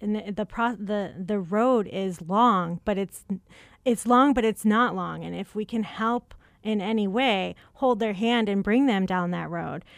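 A woman with a Chicago accent, fairly even intonation, and a fairly slow pace. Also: medium pitch for a woman. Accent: Chicago Midwestern. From Chicago, US Midwest. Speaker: communications and events manager. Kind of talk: radio interview.

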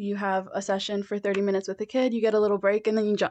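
In a dry, close recording with no echo and a quiet background, a woman with a plain, everyday voice speaks at medium pitch with fairly even intonation. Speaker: graduate student in speech pathology. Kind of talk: interview. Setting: studio.

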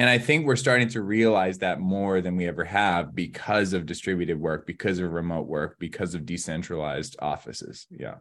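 Against a quiet background, a man with a Canadian accent talks in a very deep, low voice with lively intonation. His pace is fairly quick, with hardly any pauses. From British Columbia, Canada (Southeast Kootenays). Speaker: author and keynote speaker on workplace culture. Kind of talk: interview conversation.

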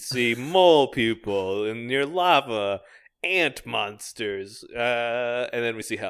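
At a very slow pace, a man speaks in a medium pitch with lively intonation. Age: 20s. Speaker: podcast co-host. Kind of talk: casual comedic chat.

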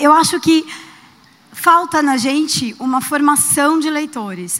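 Noticeable background noise sits behind a woman's voice. She talks at a fairly slow pace with ordinary pitch variation. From Brazil, São Paulo. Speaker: audience member. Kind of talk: audience question.

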